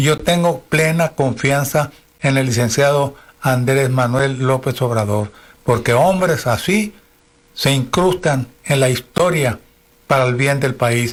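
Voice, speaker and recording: At a very slow pace, a man talks with very even loudness and ordinary pitch variation. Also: medium pitch for a man. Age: 80s+. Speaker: radio host. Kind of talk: political commentary.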